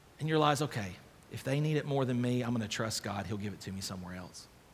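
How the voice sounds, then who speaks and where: A man at medium pitch and a fairly quick pace, with ordinary pitch variation and audible room echo. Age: 30s. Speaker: pastor. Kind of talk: sermon. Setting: church.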